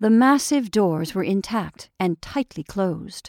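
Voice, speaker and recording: A woman uses an unremarkable speaking voice of medium pitch with lively intonation. The recording is very clean with a silent background and a dry, close sound with no echo. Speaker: audiobook narrator. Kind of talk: horror audiobook reading, gothic prose narrated in hushed, ominous tones. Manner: slow, deliberate, suspenseful, building dread.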